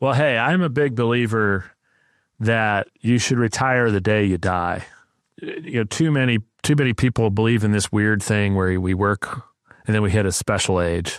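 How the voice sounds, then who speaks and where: A man's plain, everyday voice, fairly low in pitch with ordinary pitch variation, at a moderate pace and very even loudness, on a very clean recording with a silent background. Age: 60s. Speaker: podcast host. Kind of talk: casual interview chat.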